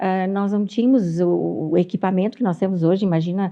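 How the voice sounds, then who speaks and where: Medium pitch from a woman at a moderate pace, with fairly even intonation. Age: 60s. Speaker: pediatrician. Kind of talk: interview. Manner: halting.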